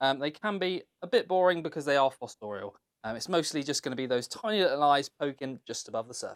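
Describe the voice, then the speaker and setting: A man with a British accent talks at a very fast pace, his fairly high voice full of lively intonation. The sound is dry and close, with no echo. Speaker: reptile keeper and breeder. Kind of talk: casual presentation, room tour.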